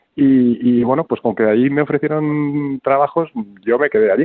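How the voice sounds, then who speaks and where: A man's fairly high voice moves at a moderate pace. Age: 40s. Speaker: film director. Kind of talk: interview. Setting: phone call.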